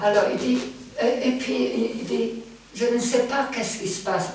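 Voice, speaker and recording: A woman with a non-native accent, speaking fairly slowly amid noticeable background noise and audible room echo. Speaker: professor emerita of medieval literature. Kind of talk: lecture. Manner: halting, many fillers.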